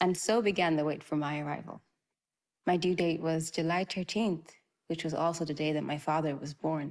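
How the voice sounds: A woman speaks at low pitch and a moderate pace. Her slightly mellow tone keeps fairly even intonation.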